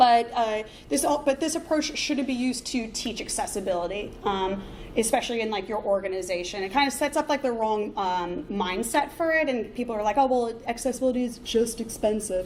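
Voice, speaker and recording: Amid audible room echo and noticeable background noise, a woman speaks at a fairly quick pace in a fairly high pitch with lively intonation. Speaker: conference speaker, front-end developer. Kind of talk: conference talk. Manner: fast; many filler words.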